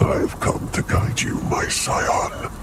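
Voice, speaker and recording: A man speaks in a put-on character voice. Loud background noise runs behind him. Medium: game stream. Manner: authoritative.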